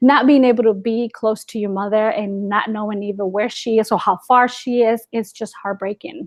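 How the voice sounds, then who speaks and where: With a Spanish accent, the speaker talks at a moderate pace with ordinary pitch variation. There are hardly any pauses. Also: woman, fairly high pitch for a woman. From Guatemala. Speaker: ESL teacher. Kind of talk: interview.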